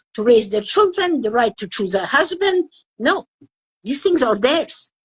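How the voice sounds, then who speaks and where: At a moderate pace, a woman talks in a high pitch with very wide pitch swings. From Afghanistan. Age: 70s. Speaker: women's rights activist. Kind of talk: interview.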